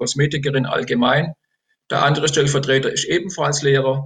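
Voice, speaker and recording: This is a man with an ordinary speaking voice. His pitch is fairly high and his intonation fairly even. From Baden, Germany (Enzkreis near Pforzheim). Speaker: politician, retired teacher. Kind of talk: election interview. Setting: video call.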